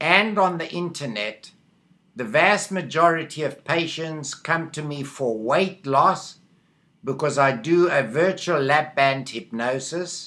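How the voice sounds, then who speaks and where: With a South African accent, a man speaks very slowly in a fairly high, bright and sharp voice with lively intonation. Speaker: medical hypnotherapist. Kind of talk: video monologue. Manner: halting, with fillers.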